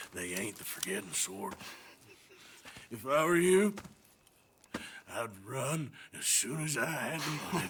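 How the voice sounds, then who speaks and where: The raspy, put-on character voice makes very wide pitch swings at a fairly slow pace, with long, frequent pauses. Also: man, medium pitch for a man. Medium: video game. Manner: terse.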